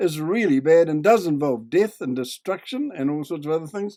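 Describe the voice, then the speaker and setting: Lively in intonation and dark and mellow in tone, the voice carries a New Zealand accent at a moderate pace. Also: man. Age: 80s+. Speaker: video commentator. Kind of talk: video commentary. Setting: home desk, recorded on computer.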